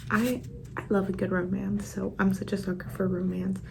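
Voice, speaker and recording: Noticeable background noise accompanies speech delivered at a middling pace. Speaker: book vlogger. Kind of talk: reading vlog commentary. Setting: at work. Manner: soft-spoken whisper.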